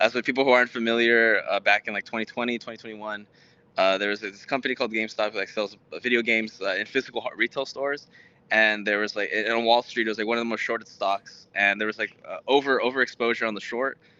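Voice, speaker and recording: A man with a Spanish accent talks at a very fast pace in a monotone, flat intonation. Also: medium pitch for a man. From Texas, Houston, Mexican household. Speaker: startup founder, software engineer. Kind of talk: interview. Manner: halting, many fillers.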